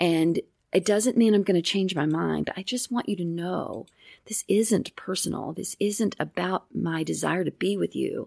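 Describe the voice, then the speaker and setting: A woman with a plain, everyday voice speaks at a moderate pace and medium pitch. Her pitch varies in an ordinary way, and the recording is very clean with a silent background. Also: dry, close sound with no echo. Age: 60s. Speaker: therapist. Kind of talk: casual chat.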